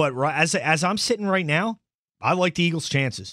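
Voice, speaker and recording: Lively in intonation, a man with an American accent talks at a fairly quick pace and fairly high pitch on a very clean recording with a silent background. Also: dry, close sound with no echo. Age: 30s. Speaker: sports podcast host. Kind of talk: solo sports commentary podcast. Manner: animated.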